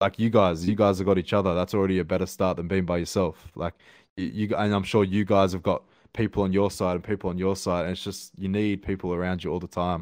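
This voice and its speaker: An Australian-accented man speaks at a very fast pace with a very deep, low pitch. His intonation is monotone and flat, over a quiet background. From Australia, Sydney. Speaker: rapper. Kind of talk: casual chat.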